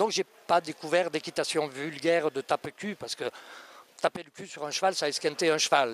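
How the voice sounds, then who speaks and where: A man talks at a moderate pace with a fairly high pitch. The sound is dry and close with no echo, though there is noticeable background noise. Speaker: riding instructor and author. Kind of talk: interview answer. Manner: soft, gentle.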